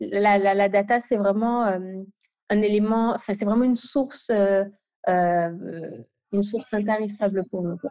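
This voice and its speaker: A woman's voice at medium pitch, fairly slow, with fairly even intonation. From Guadeloupe. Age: 20s. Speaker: UX product designer. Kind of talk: interview. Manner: halting.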